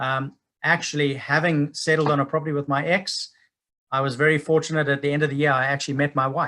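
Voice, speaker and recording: A man with a Zimbabwean accent speaks at a very fast pace, his fairly high pitch, bright, sharp tone and monotone, flat intonation all prominent. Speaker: property investment speaker. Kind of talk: webinar presentation. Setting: online webinar.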